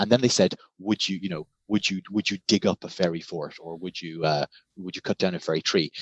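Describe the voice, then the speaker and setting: A man speaks with a Cork accent. His pitch is very deep and low, and his intonation is fairly even. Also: fairly quick pace, big swings in loudness. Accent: Irish (Cork). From Ireland, Cork. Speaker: scholar and writer. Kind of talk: casual interview chat.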